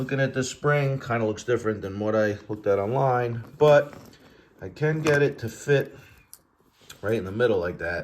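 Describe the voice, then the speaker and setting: A man's medium-pitched, plain, everyday voice at a moderate pace with ordinary pitch variation. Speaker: motorcycle fabrication youtuber. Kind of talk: workshop tutorial. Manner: casual with many fillers.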